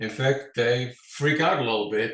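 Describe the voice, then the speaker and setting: A man with a Dutch accent speaks at a medium pitch, sounding somewhat breathy. His pace is fairly slow, with ordinary pitch variation. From Netherlands, Amsterdam. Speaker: financial advisor. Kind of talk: interview. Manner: formal.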